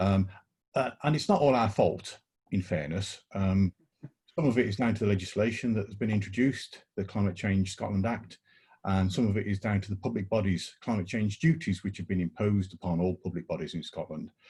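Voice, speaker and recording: A man speaks at a fairly quick pace with a fairly low, somewhat breathy voice, a dark, mellow tone and ordinary pitch variation. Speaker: college sustainability staff. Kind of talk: online panel discussion.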